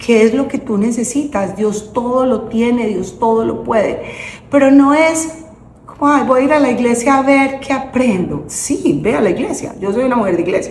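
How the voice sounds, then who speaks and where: Against noticeable background noise and audible room echo, the speaker has an animated tone and a moderate pace. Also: woman. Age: 60s. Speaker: guest speaker on faith and women's empowerment. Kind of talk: interview conversation, faith testimony.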